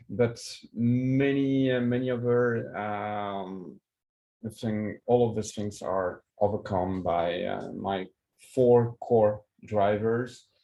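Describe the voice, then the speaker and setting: At a very slow pace, a man with a French accent talks in a fairly low pitch with fairly even intonation. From France, Paris. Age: 40s. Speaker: keynote speaker, project management expert. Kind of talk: conference keynote. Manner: hesitant, many fillers.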